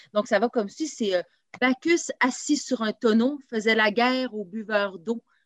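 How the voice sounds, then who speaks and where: An unremarkable speaking voice from a woman, fairly high and fairly slow, ordinary pitch variation, dry close sound with no echo. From Quebec, Lower Laurentians (Saint-Eustache). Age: 30s. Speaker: improv actor and comedian. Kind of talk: casual interview.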